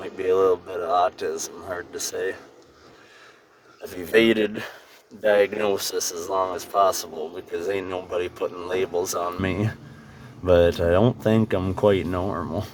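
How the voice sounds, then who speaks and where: Against noticeable background noise, a man with a very deep, low pitch speaks at a fairly slow pace in a monotone, flat intonation, with big swings in loudness and long, frequent pauses. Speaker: travel vlogger. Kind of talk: voice-over narration. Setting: recorded after driving, overdubbed.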